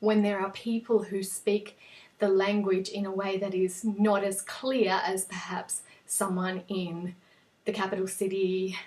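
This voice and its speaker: Medium in pitch, a woman's voice comes through. She speaks at a fairly slow pace. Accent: Australian. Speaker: English teacher. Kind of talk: tutorial. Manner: clear, explanatory.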